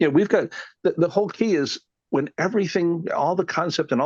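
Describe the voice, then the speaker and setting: There is vocal fry in this man's voice, recorded with a dry, close sound with no echo against a quiet background. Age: 60s. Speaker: classic car collector and researcher. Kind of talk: podcast interview. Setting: recording studio. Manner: rambling, hesitant with fillers.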